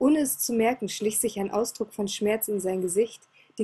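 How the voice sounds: Pitch varies in an ordinary way through a natural reading voice.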